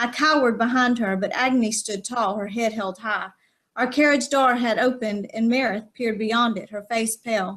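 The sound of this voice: The background stays quiet. Intonation is fairly even in this unforced reading voice.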